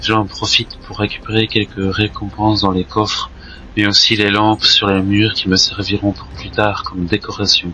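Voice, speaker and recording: Noticeable background noise accompanies a man with a fairly low pitch. He talks at a fairly slow pace with fairly even intonation. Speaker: gaming youtuber. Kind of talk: gameplay commentary.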